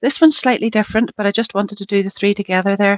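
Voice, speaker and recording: The voice carries a Northern Irish accent with ordinary pitch variation. The sound is dry and close, with no echo. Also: woman. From Northern Ireland. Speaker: craft video maker. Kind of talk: crafting tutorial; video outro. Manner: casual, chatty.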